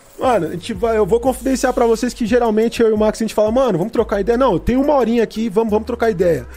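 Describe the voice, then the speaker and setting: A man with a high pitch rattles along at a very fast pace while noticeable background noise runs underneath. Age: 30s. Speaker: podcast host. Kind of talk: casual interview. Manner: animated.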